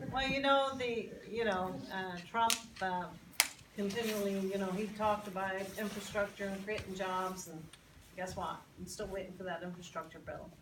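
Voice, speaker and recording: A woman with an American accent speaks at a moderate pace in a medium pitch with fairly even intonation, against noticeable background noise and audible room echo. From Northern Ireland, Belfast. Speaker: congressional candidate. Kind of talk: Q&A at public forum. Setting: public meeting with audience. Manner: halting, many repeated words.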